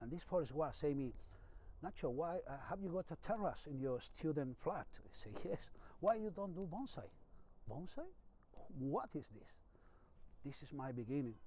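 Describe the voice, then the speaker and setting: Delivered at a moderate pace in a Spanish accent, the speech has lively intonation and long, frequent pauses. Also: man. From Spain. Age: 50s. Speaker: bonsai master. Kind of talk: personal story interview. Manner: halting.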